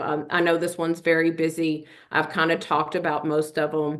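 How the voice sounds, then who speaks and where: A woman with a Kentucky accent and a fairly low-pitched voice. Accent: Kentucky twang. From Kentucky (Richmond). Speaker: nonprofit program director. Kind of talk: webinar presentation. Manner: conversational, with frequent fillers.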